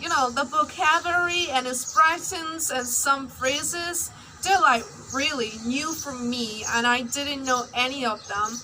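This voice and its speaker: A woman's raised, projected high voice at a fairly slow pace, with ordinary pitch variation and noticeable background noise. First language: Burmese. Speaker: English learner vlogger. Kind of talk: personal vlog.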